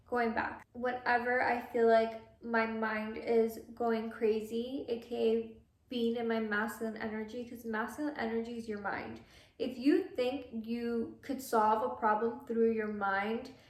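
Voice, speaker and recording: With an American accent, a woman speaks fairly slowly at a fairly high pitch, monotone and flat, in audible room echo. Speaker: lifestyle vlogger. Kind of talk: casual monologue.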